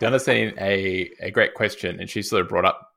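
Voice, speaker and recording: Moderate pace from a man with an Australian accent, on a very clean recording over a silent background. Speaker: podcast host, fitness trainer. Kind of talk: casual podcast chat.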